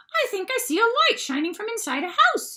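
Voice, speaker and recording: In a put-on character voice, squeaky and extremely high, the speaker moves at a fairly quick pace with very wide pitch swings. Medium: read story.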